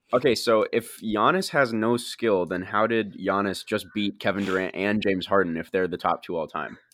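A man's fairly low voice, a plain, everyday voice, at a moderate pace with ordinary pitch variation and hardly any pauses, on a very clean recording with a silent background. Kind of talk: heated debate. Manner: insistent, interrupting, pleading to be heard.

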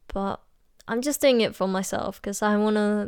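A woman's voice on a very clean recording against a silent background. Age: 20s. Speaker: podcast host, pastry chef. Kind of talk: casual monologue. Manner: hesitant, frequent ums and laughs.

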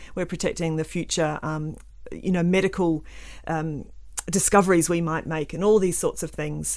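A woman with a New Zealand accent speaks at a moderate pace with long, frequent pauses on a very clean recording with a silent background. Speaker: environmental scientist and author. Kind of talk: casual interview chat. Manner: hesitant with frequent fillers.

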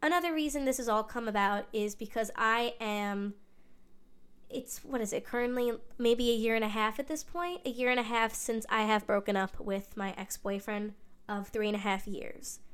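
Speaking at a moderate pace, a woman uses a fairly high pitch with ordinary pitch variation. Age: 20s. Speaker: podcaster. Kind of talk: personal monologue. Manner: talkative.

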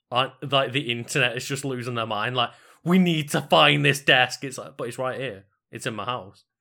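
A loud man's voice with vocal fry, medium pitch, ordinary pitch variation, a moderate pace and a bright, sharp tone. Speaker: gaming podcaster and streamer. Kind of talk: casual chat. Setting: remote live stream recording.

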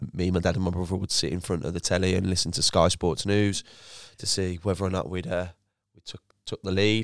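With a Birmingham accent, a man with a very deep, low pitch speaks at a fairly quick pace and fairly even intonation on a very clean recording with a silent background. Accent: Birmingham (Brummie). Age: 20s. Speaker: former footballer turned entrepreneur. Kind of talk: casual interview chat.

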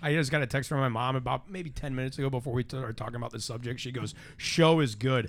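Talking at a very fast pace, a man with an American accent keeps a medium pitch and ordinary pitch variation. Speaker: podcast host and comedian. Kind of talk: casual chat. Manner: loud.

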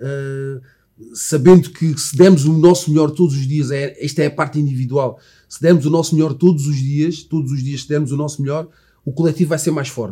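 With music in the background, a man with a fairly high voice speaks at a moderate pace with fairly even intonation. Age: 40s. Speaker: former footballer, sports commentator. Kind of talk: casual interview.

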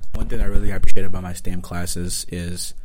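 A man speaks with a Nigerian accent. His pace is moderate and his intonation fairly even. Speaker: university student. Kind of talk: casual chat.

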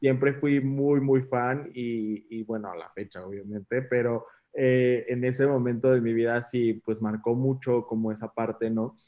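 A man speaks in a normal speaking voice at a fairly slow pace with a medium pitch. His intonation is fairly even, and he takes hardly any pauses. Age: 20s. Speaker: makeup artist. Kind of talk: casual chat.

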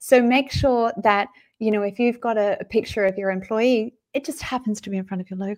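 With an Australian accent, a woman speaks fairly quickly at a fairly high pitch, her pitch varying in an ordinary way and her loudness swinging widely. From Australia, Sydney. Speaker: LinkedIn marketing consultant. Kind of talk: live interview. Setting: video call. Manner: animated.

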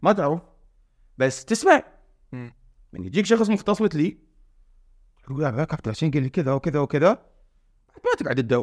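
On a very clean recording with a silent background and a dry, close sound with no echo, a man speaks at a fairly quick pace in a fairly high voice, swinging very widely in pitch and leaving long, frequent pauses. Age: 40s. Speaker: fitness coach and nutrition expert. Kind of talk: casual chat.

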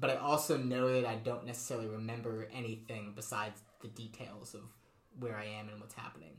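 A man with an American accent talks at a fairly quick pace in a medium pitch, with ordinary pitch variation, big swings in loudness, audible room echo and noticeable background noise. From New England (Connecticut). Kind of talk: casual chat. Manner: casual, hesitant with fillers.

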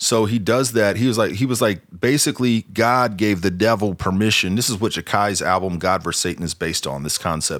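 Using an ordinary speaking voice, a man talks at a fairly low pitch with ordinary pitch variation. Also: fairly quick pace. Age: 40s. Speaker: podcast host. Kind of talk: casual chat.

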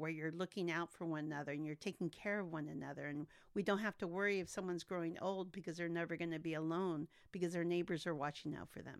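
A woman talks at a fairly quick pace in a normal speaking voice, fairly low in pitch. Her intonation is fairly even, and the recording is very clean with a silent background. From Santa Maria, California (born in Texas, moved as toddler). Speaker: college trustee and former city council member. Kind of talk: interview.

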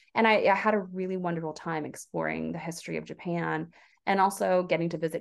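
Talking at a very fast pace is a woman. She has an American accent. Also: quiet background. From US South. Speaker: author. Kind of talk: interview.

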